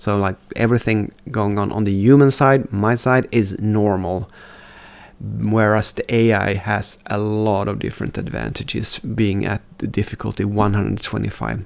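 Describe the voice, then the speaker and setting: This man speaks at a moderate pace in a fairly low pitch. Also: fairly even intonation. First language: not English. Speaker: strategy game streamer. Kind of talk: gameplay commentary. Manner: halting.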